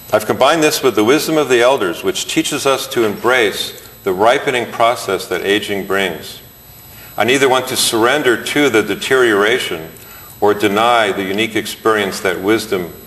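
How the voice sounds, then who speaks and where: Noticeable background noise sits behind a man speaking at a moderate pace. His pitch varies in an ordinary way. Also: medium pitch for a man. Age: 60s. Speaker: chiropractor and author. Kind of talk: reading aloud from own book.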